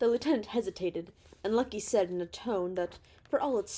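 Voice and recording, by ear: A passage is being read aloud. The reader uses a natural voice.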